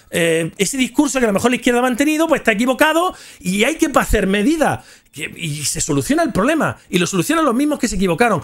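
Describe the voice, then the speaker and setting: A man with a Spanish accent sounds animated at a high pitch. His pitch swings very widely over a quiet background. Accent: Spanish (Spain). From Spain. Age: 40s. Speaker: gaming youtuber. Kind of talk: casual storytelling livestream. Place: home room. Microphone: studio mic.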